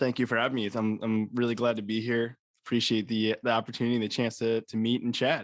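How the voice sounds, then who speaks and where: A man with a slight New York accent talks at a very fast pace. His medium-pitched voice stays monotone and flat. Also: very even loudness. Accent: faint New York. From Long Island, New York (North Shore). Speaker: personal development coach. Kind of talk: interview. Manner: halting, repeats words.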